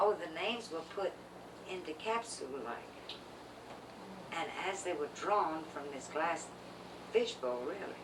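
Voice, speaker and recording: Lively intonation at a fairly slow pace, with long, frequent pauses and noticeable background noise. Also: woman, fairly low pitch for a woman. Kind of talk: interview answer.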